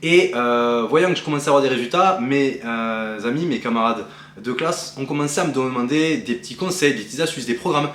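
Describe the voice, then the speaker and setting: The voice moves at a fairly quick pace amid noticeable background noise and audible room echo. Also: man. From southwest France. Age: 20s. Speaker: bodybuilding athlete and coach. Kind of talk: personal vlog introduction. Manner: casual, with frequent hesitations.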